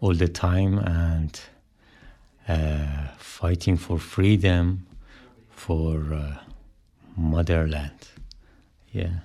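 With a Persian accent, a man speaks very slowly in a very deep, low pitch, his intonation fairly even and broken by long, frequent pauses. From Iran. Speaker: musician, band drummer. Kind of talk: radio interview. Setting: radio studio. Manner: halting.

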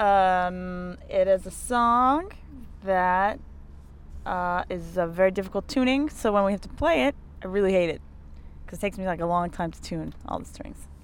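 Big swings in loudness mark a woman's medium-pitched voice, delivered at a moderate pace with ordinary pitch variation. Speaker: band member. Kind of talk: casual interview chat. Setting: tour van. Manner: quieter, laid-back.

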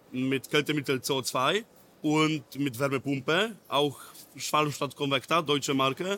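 In a Polish accent, the speaker uses a bright, sharp tone with fairly even intonation at a fairly slow pace. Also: man. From Poland, near Poznań. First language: Polish (speaking German). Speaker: technical trainer. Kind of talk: training session. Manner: halting, broken German.

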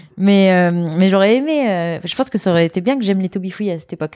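A woman's fairly low, dark, mellow voice at a very fast pace, dry and close with no echo, in a very clean recording with a silent background. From France, Lyon. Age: 30s. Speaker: former student activist. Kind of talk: interview. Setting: at her home.

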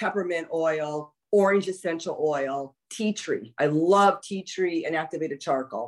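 Speaking at a fairly slow pace, a woman uses an ordinary speaking voice with ordinary pitch variation. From Los Angeles, California. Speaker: former pro wrestler and soap maker. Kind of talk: casual chat.

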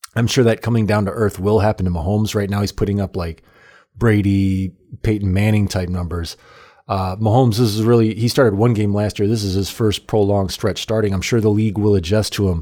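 A man with an American accent speaks at a fairly quick pace and fairly low pitch, his tone dark and mellow, in a very clean recording with a silent background. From Illinois. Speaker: sports podcast host. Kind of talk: casual sports commentary monologue. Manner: animated.

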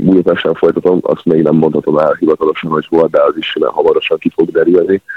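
A man speaks at a very fast pace. He hardly pauses at all. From Hungary, Szeged. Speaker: water polo player. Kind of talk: radio phone interview. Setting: phone call.

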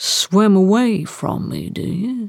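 A man puts on a character voice with a high pitch and vocal fry. He speaks at a slow pace. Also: ordinary pitch variation.

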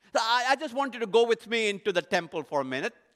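An extremely high-pitched, raised and projected male voice, bright and sharp in tone, with very wide pitch swings, dry and close with no echo on a very clean recording with a silent background. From India. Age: 60s. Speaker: leadership consultant. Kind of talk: podcast monologue lecture.

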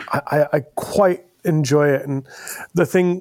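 With an ordinary speaking voice, a man talks at a fairly high pitch with ordinary pitch variation. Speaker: podcast host. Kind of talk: casual interview conversation.

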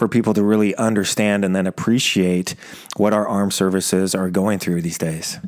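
This man has an unremarkable speaking voice with a fairly low pitch. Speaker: podcast host. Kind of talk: interview. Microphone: old microphone with echo.

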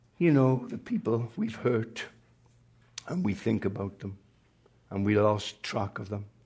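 A man's dark, mellow, somewhat breathy voice, fairly slow with long, frequent pauses and ordinary pitch variation. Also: medium pitch for a man. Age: 80s+. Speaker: retired pastor. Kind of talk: sermon.

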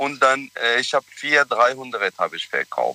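This speech moves at a fairly slow pace. It sounds dry and close, without any echo. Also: man. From Iraq. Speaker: caller. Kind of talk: phone-in call. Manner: halting.

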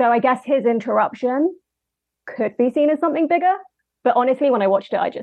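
With a London accent, a woman speaks at a very fast pace. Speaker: film editor and writer. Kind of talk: casual chat.

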